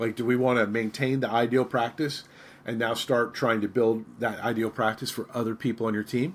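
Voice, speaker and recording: A man talks at a fairly quick pace. His pitch is medium. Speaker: podcast host and author for financial advisors. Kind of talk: solo podcast monologue. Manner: fast; animated, passionate.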